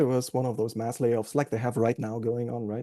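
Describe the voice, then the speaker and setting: Against a quiet background, a man with a German accent speaks in a dark, mellow tone. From Germany. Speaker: AA meeting speaker. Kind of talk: recovery testimony. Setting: recovery group meeting.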